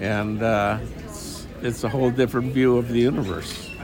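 Over noticeable background noise and audible room echo, the speech moves at a very slow pace with lively intonation. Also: man. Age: 70s. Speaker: former FBI agent, life advice guest. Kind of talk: casual interview. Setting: outdoors at a coffee shop.

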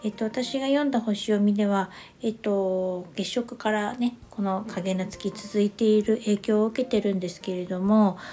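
With hardly any pauses, a woman of medium pitch speaks at a moderate pace in a dark, mellow tone and fairly even intonation. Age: 50s. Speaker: astrology adviser podcaster. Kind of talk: casual solo talk. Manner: many fillers, hesitant.

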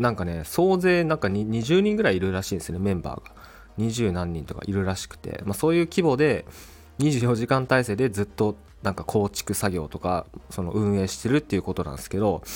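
His pitch is fairly low and swings very widely. The man speaks at a fairly quick pace. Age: 20s. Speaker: podcaster and YouTuber. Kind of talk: solo casual talk. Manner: halting, many fillers.

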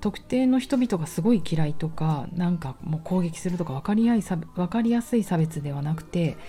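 A woman speaks at a moderate pace with hardly any pauses, her fairly low, somewhat breathy voice dark and mellow, relaxed in tone, with lively intonation. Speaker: personal trainer and podcaster. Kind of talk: casual monologue. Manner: relaxed, laid-back.

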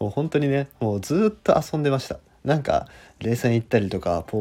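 A man with a dark, mellow tone talks at a very fast pace with very wide pitch swings on a very clean recording with a silent background. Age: 20s. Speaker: podcaster. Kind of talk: casual monologue.

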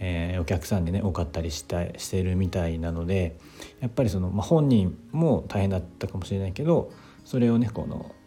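Very deep, low male voice with a dark, mellow tone, lively intonation and a moderate pace. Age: 30s. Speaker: podcaster. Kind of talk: solo monologue. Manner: halting, many fillers; slight stutter.

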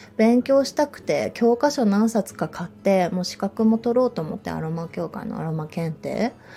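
A woman's fairly high voice in a relaxed tone, with very wide pitch swings, big swings in loudness, a moderate pace and music in the background. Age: 30s. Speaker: yoga instructor. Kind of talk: casual monologue podcast. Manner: relaxed, laughs often.

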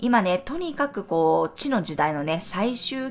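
A woman with a gentle tone speaks at a fairly slow pace, her pitch swinging very widely, in a very clean recording with a silent background. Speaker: astrologer and tarot reader. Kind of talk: daily horoscope podcast monologue. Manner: gentle, conversational with frequent ね fillers.

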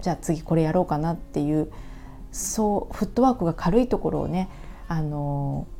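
A woman speaks at a moderate pace with a very deep, low pitch and a dark, mellow tone. Her intonation is lively. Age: 40s. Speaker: coach. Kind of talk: solo monologue. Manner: halting.

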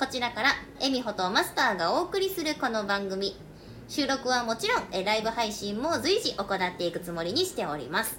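Over noticeable background noise, a woman talks at a moderate pace. Her pitch is fairly high and swings very widely. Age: 30s. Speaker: podcast host. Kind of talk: scripted intro; casual chat. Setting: bar in Osaka.

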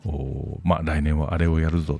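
Very deep and low, a man's voice comes through with a dry, close sound and no echo. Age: 50s. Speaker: podcast host, author and business consultant. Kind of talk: casual monologue. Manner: frequent fillers.

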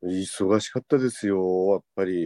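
A man's very deep, low voice with a dark, mellow tone, ordinary pitch variation, and a dry, close sound without echo. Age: 50s. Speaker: takoyaki shop owner. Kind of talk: casual chat.

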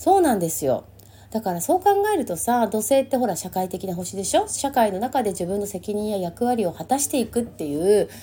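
An ordinary speaking voice with lively intonation. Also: woman, fairly high pitch for a woman, fairly quick pace. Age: 50s. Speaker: astrologer. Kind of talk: casual monologue. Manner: chatty with many fillers.

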